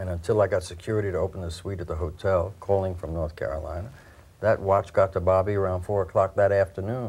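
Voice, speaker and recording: At a fairly quick pace, this voice sounds somewhat breathy. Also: man. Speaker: film actor, guest. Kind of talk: interview answer.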